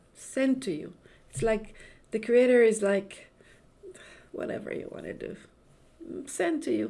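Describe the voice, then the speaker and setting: A woman with an Israeli accent talks at a fairly slow pace with lively intonation and vocal fry, with audible room echo. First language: Hebrew. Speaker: Kabbalah and astrology teacher. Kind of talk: spiritual lecture. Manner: halting, many repetitions and fillers.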